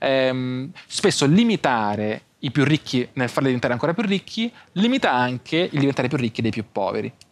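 A man is speaking. His pace is fairly quick. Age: young. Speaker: content creator and entrepreneur; content creator. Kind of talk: casual interview. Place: studio. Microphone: lapel.

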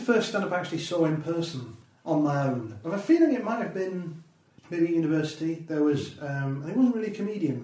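Talking at a fairly quick pace, a man has a fairly high pitch and lively intonation. Noticeable background noise runs behind him. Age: 40s. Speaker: comedian and radio producer. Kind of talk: casual chat. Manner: halting.

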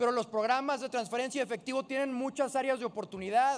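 At a fairly quick pace, a man talks with an extremely high pitch and ordinary pitch variation. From Jalisco, Mexico. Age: 20s. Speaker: politician. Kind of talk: parliamentary speech. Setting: legislative chamber. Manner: formal. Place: hall. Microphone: podium.

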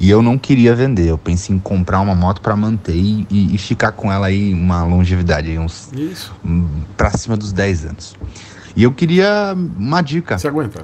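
Light background noise sits behind a man with an ordinary speaking voice. His pitch is fairly low and his pace moderate. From São Paulo state, Brazil. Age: 20s. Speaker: viewer sending question. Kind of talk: recorded viewer question. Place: home room.

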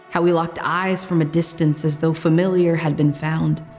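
Faint music plays in the background. A woman speaks at a fairly low pitch with monotone, flat intonation. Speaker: spoken word artist. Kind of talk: spoken word poetry performance. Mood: earnest, emotional. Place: studio.

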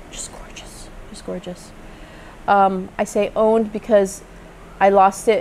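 Light background noise sits under speech delivered at a very slow pace. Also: woman. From Philippines. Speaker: plant vlogger and lawyer; plant vlogger, lawyer. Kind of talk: vlog tutorial. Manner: casual with fillers. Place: garden.

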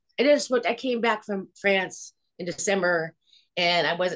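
A woman with a Californian accent and lively intonation, against a quiet background. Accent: General American (Californian). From Los Angeles. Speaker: hair department head; guest. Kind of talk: casual interview. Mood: warm, chatty. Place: home room. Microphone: video call.

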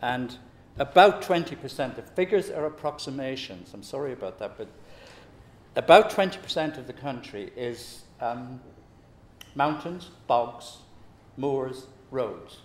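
A man at a very slow pace, with lively intonation, long, frequent pauses and big swings in loudness. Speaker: public speaker. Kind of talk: talk to an audience. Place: meeting room.

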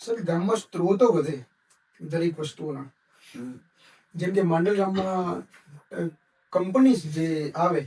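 This man's voice is high for a man. Its tone is dark and mellow. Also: ordinary pitch variation. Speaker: video interviewer. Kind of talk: interview.

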